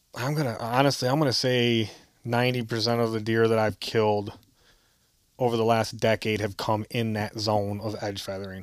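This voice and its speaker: A man speaks at a moderate pace with an American accent. His medium-pitched voice stays monotone and flat. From southern Michigan, Grass Lake. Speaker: deer hunter. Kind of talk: casual interview.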